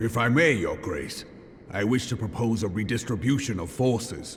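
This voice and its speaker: A man puts on a character voice at a medium pitch with ordinary pitch variation, with clear background noise behind him. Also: moderate pace. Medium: video game. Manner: gruff, direct.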